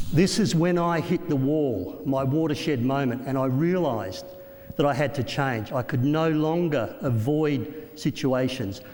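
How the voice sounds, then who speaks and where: Speaking in an Australian accent with lively intonation, a man takes a fairly slow pace amid audible room echo. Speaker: motivational speaker. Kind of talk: keynote speech.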